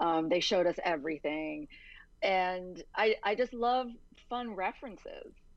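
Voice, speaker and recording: A woman with an American accent and an unremarkable speaking voice talks at a fairly slow pace, her medium pitch carrying lively intonation against a quiet background. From Virginia. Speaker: novelist. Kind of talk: interview.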